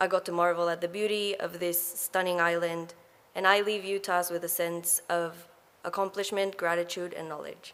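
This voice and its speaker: The woman's voice is medium in pitch, and her intonation is flat and monotone. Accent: Ecuadorian. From Ecuador. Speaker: graduate student speaker. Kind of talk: graduation speech. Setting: graduation ceremony hall.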